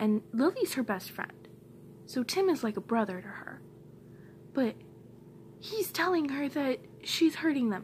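With light background noise behind her, a woman speaks at a high pitch and fairly slow pace, her pitch swinging very widely, with long, frequent pauses. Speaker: vlogger. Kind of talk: angry rant. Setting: home, recorded to camera. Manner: fired-up, emphatic, repeating lines for punch; blunt, heated, defiant. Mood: upset, venting frustration. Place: home room. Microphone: phone near.

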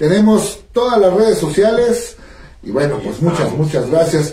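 Room echo can be heard as a man speaks at a moderate pace. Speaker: radio host. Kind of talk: radio show host talk. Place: studio.

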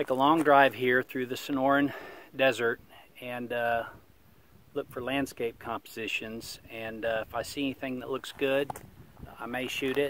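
A man talks at a moderate pace in a monotone, flat intonation, with long, frequent pauses, a dry sound with no echo and light background noise. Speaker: travel vlogger. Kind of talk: casual vlog chat. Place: open country. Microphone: phone near.

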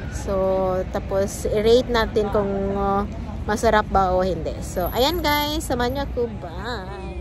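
A woman speaks with clear music playing behind her. The sound is dry, with no echo. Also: fairly slow pace. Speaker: vlogger. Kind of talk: casual vlog chat. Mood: cheerful, smiling. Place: street. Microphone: phone near.

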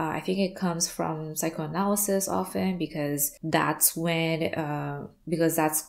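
Against a quiet background, a woman speaks very slowly in a very deep, low voice, her intonation fairly even. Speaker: art therapy business coach. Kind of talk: educational talking-head vlog. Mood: warm, light laughter. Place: home room.

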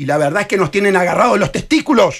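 A high-voiced man with a Uruguayan accent talks at a fairly quick pace against a quiet background. His tone is animated, with very wide pitch swings. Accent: Uruguayan Rioplatense Spanish. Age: 60s. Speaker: presidential candidate and lawyer; candidate, lawyer. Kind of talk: radio interview. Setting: radio studio. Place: studio. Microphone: headset.

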